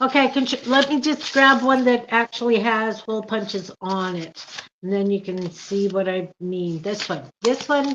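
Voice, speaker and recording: In an ordinary speaking voice, a woman with fairly high pitch talks at a moderate pace with lively intonation. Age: 60s. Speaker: crafter and channel creator. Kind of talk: casual chat.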